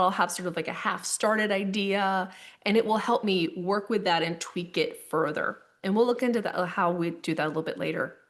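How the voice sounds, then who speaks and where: A woman speaks at a medium pitch and a fairly quick pace, with ordinary pitch variation. The background is quiet. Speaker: webinar presenter on tech tools for church musicians. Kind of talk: online master class presentation. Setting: video call.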